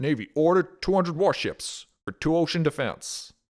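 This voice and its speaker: A man puts on a nasal, high-pitched character voice at a moderate pace. The recording is very clean, with a silent background. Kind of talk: old-fashioned news.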